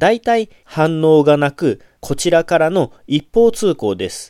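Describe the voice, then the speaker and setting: In a very clean recording with a silent background and a dry, close sound with no echo, a man with a fairly high, dark and mellow voice makes very wide pitch swings. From Japan, Kagawa. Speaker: Buddhist monk and podcaster. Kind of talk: solo podcast talk answering listener questions. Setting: home recording with USB mic into laptop.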